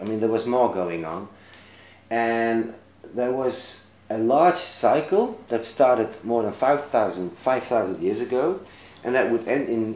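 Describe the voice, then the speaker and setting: A man speaks with a Dutch accent at a medium pitch. His pace is fairly slow and his intonation lively. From Netherlands. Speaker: author and lecturer. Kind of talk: interview. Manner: halting.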